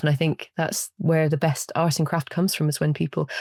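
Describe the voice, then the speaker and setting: Very deep, low pitch from a woman in a Scottish accent, with fairly even intonation, on a very clean recording with a silent background. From Scotland. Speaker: studio potter. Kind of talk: interview answer.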